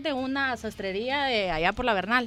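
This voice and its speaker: A woman talks with ordinary pitch variation while music plays in the background. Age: 30s. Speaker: graphic designer and entrepreneur. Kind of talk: interview.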